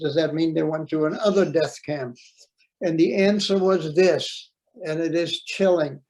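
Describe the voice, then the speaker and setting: High in pitch, a man speaks with fairly even intonation. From Netherlands. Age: 80s+. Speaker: Holocaust survivor speaker. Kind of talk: testimony. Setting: video call. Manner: halting.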